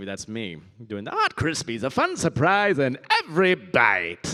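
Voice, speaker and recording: Using a put-on character voice, a man speaks at a moderate pace with a medium pitch. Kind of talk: commercial jingle-style. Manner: jovial, chipper.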